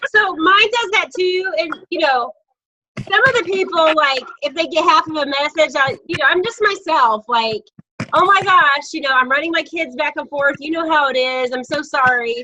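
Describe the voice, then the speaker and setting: Bright and sharp in tone, the voice is raised and projected, with lively intonation at a moderate pace. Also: woman, extremely high pitch for a woman. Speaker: network marketing team leader. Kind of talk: casual group video call.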